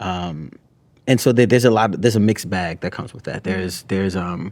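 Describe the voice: A man's low voice, slightly mellow in tone, with ordinary pitch variation and a moderate pace on a very clean recording with a silent background.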